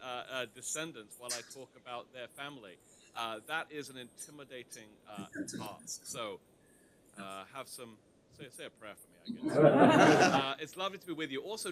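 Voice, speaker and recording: Noticeable background noise sits behind a man with a British accent and a fairly high pitch. He talks at a moderate pace with lively intonation and big swings in loudness. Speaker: history lecturer, university teacher giving a talk. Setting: lecture to an audience. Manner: hesitant, frequent filler sounds, self-deprecating humor.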